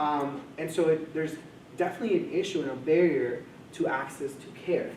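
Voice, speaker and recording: A man with a Spanish accent speaks at a fairly high pitch, with audible room echo and noticeable background noise. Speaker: mental health coordinator. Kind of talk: presentation to a live audience.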